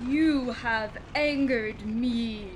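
A female-sounding, put-on character voice pitched high comes through with clear background noise. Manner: angry, commanding.

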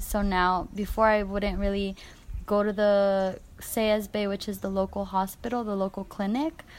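A woman's normal speaking voice at medium pitch, fairly slow in pace, on a very clean recording with a silent background. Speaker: Peace Corps health volunteer. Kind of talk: casual interview.

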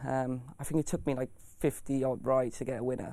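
A man with a dark, mellow tone, a fairly high pitch and a South Wales accent. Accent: South Wales valleys. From South Wales valleys (Bargoed). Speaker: jockey. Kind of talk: interview. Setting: studio. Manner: hesitant, many fillers.

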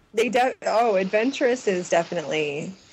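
A woman's normal speaking voice, medium in pitch, with lively intonation. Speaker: guest, friend of the show. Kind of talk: casual chat. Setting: video call. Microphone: poor internet connection, cuts in and out.

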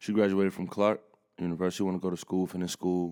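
A man's very deep, low voice, dark and mellow, with fairly even intonation in a very clean recording with a silent background. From Bronx, New York, raised in north Atlanta. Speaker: hip hop artist. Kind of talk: casual interview chat.

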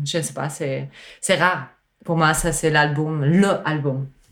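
A woman's very deep, low pitch in a non-native accent, with fairly even intonation. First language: not French (speaking French). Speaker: musician and sound artist. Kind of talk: casual chat. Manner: halting.

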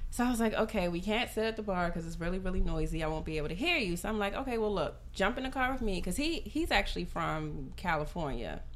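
Very fast speech from a woman with an American accent, hardly any pauses, audible room echo, and noticeable background noise. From US, grew up in foster care, Nigerian parents. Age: 30s. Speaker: podcast guest, former rapper. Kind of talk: casual chat.

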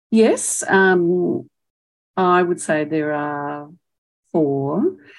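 A woman speaks with an Australian accent. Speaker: retired professor and speech pathologist. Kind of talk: elder life story, reflective oral history. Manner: reflective, warm and passionate, measured.

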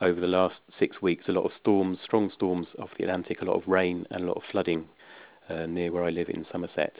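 This man has a very deep, low-pitched voice and an English accent. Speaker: workshop presenter, management consultant. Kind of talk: webinar presentation on a conference call. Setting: phone conference call. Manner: halting, many fillers.

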